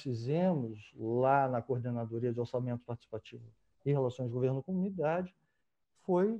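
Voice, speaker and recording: Lively intonation at a moderate pace. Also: man. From Rio de Janeiro, Brazil. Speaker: former local government coordinator, council candidate. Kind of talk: online interview conversation. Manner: halting, many fillers.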